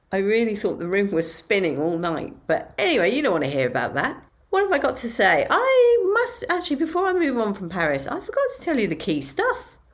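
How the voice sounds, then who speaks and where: A woman speaks at a fairly quick pace with hardly any pauses, her pitch fairly high and swinging very widely. Noticeable background noise is present. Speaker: aspiring comedian, diary podcaster. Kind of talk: casual spoken diary.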